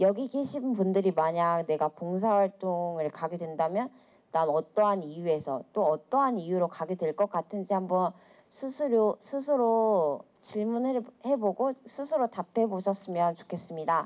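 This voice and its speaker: A woman's medium-pitched, plain, everyday voice with lively intonation, at a fairly slow pace, in a very clean recording with a silent background. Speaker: public speaker, volunteer. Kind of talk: public talk to audience. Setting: stage with audience.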